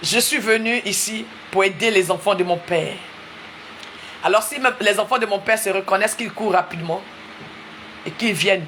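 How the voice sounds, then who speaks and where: With an Ivorian accent, a woman speaks with long, frequent pauses and ordinary pitch variation over noticeable background noise. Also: medium pitch for a woman, moderate pace. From Ivory Coast. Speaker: preacher. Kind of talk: sermon. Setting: livestream. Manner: repetitive, emphatic.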